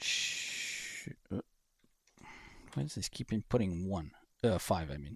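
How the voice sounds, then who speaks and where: A man speaks very slowly in a very deep, low pitch, with very wide pitch swings and a somewhat breathy voice. Long, frequent pauses break up his speech, and the sound is dry and close with no echo. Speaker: flight sim livestreamer. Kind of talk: casual livestream chat. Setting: home PC livestream. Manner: halting, many fillers; mumbling at times. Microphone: a bit quiet.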